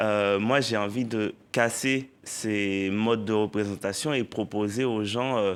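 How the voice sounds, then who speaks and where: A man with a Haitian accent speaks very slowly at a fairly low pitch, his intonation fairly even, on a very clean recording with a silent background. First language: Haitian Creole (speaking French). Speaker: poet and novelist. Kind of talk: TV interview.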